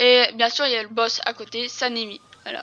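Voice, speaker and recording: Music plays in the background as a woman speaks at a high pitch. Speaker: gaming YouTuber. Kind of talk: gameplay tutorial. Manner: hesitant, many fillers.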